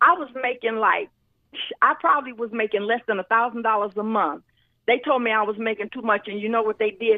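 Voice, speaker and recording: At a fairly quick pace, a woman speaks in an animated tone with a fairly high pitch. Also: ordinary pitch variation. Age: 60s. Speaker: talk show panelist. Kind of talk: casual talk show discussion.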